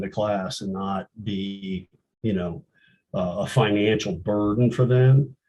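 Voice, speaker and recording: Fairly even in intonation, a man speaks at a fairly low pitch. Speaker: co-founder of veteran art program. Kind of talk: interview conversation.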